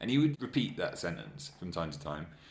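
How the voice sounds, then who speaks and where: A man with an English accent talks at a fairly quick pace. His pitch swings very widely. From England. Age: 30s. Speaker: anonymous interviewee. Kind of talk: casual chat. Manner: halting.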